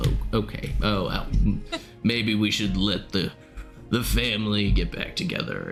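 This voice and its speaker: Using a put-on character voice, a man speaks raspily at a fairly slow pace with long, frequent pauses as music plays clearly behind him. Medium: actual play.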